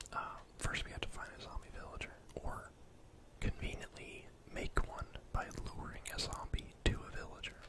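Over loud background noise, a soft-spoken man whispers at a moderate pace. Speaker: gamer streamer. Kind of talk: gameplay commentary. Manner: soft close-mic ASMR whisper. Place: home room.

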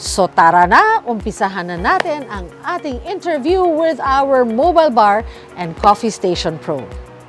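A woman talks at a very slow pace. The sound is dry with no echo, and faint music plays in the background. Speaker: show host. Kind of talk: host intro to camera, then interview questions. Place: garden. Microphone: lapel.

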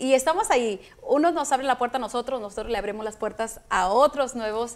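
A woman talks at a fairly quick pace and a fairly high pitch. Her pitch varies in an ordinary way. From Mexico (Michoacán). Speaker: film producer. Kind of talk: interview. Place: studio.

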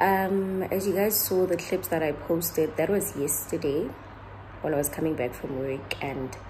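The pace is moderate and the intonation fairly even. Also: woman.

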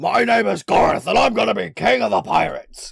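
This is a put-on character voice with a raspy sound. It moves at a fairly quick pace. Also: man. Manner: boastful, playful.

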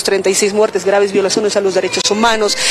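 A woman's flat, monotone delivery at a fairly quick pace, dry with no echo, with light background noise. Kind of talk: press interview answer. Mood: firm, argumentative. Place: street. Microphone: handheld.

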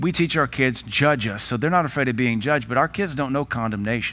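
Using a plain, everyday voice, a man at medium pitch talks with lively intonation. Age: 40s. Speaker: pastor. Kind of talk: panel discussion moderation. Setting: church. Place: church.

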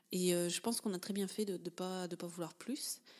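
This woman has a fairly low pitch and speaks at a moderate pace with fairly even intonation. The recording is very clean, the background silent. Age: 30s. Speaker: life coach and podcaster. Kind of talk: personal storytelling monologue. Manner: halting, many filler sounds.

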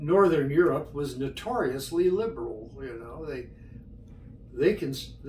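With audible room echo and light background noise, a man speaks at a fairly slow pace and a fairly high pitch, his loudness swinging widely. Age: 80s+. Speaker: retiree recounting his life. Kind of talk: oral history interview. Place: home room. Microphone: camera far.

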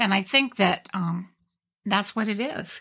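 In a very clean recording with a silent background, a woman with a normal speaking voice talks at a fairly slow pace with ordinary pitch variation. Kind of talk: casual interview.

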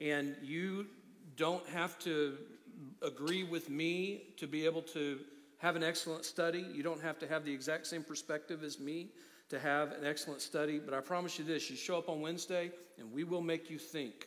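A man's monotone, flat delivery at a moderate pace. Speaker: pastor. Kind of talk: sermon. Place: church.

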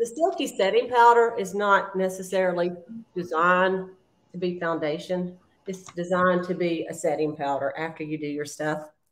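A woman speaks in a Southern US accent at a fairly low pitch. Her pace is moderate and her pitch variation ordinary. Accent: Southern US (Georgia). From US South, South Georgia. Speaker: beauty consultant, makeup tutorial host. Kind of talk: makeup tutorial livestream, casual. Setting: video livestream. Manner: chatty, laughs often. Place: home room. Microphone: phone near.

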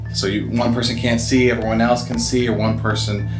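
A man talks with clear music audible behind him. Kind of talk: interview answer. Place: shop. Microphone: handheld.

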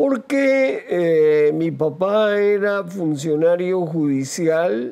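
A man's high-pitched voice, dark and mellow in tone, with lively intonation at a very slow pace. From Costa Rica, Heredia province; Costa Rica. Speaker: retired radio journalist. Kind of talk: interview. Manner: hesitant with frequent fillers. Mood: reflective, calm. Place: studio. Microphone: lapel.

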